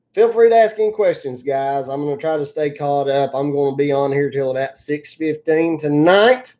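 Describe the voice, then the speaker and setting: With a strong Appalachian accent, a woman speaks at a very deep, low pitch in a dark, mellow tone, with hardly any pauses. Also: lively intonation, moderate pace. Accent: very thick Appalachian. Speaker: excavation business owner and YouTuber. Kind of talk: live stream Q&A. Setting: live stream.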